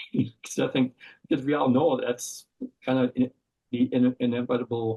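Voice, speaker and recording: A man with an Upper Midwest accent at a moderate pace. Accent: Upper Midwest American. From Wisconsin, Madison. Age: 60s. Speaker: outdoor writer. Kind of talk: podcast interview. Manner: halting.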